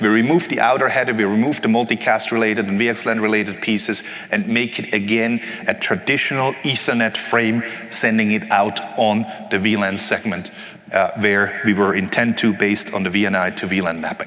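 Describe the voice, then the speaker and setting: A man with a medium pitch talks at a fairly quick pace. Audible room echo and noticeable background noise surround him. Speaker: conference technical presenter. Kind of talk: technical lecture. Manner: fast.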